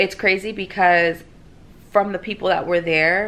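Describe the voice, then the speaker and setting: A woman has an unremarkable speaking voice with a fairly low pitch. She talks at a moderate pace. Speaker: vlogger. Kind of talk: casual vlog chat. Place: home room.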